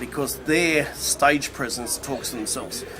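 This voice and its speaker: Music plays in the background as a man with an Australian accent talks at a moderate pace. His fairly high voice keeps fairly even intonation. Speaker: public speaker. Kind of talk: testimonial.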